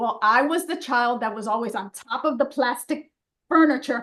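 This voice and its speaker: A bright, sharp tone at a moderate pace, with lively intonation. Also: woman. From New York City, Dominican family. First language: Spanish. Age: 60s. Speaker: fine art photographer and portrait artist. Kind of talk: casual interview chat.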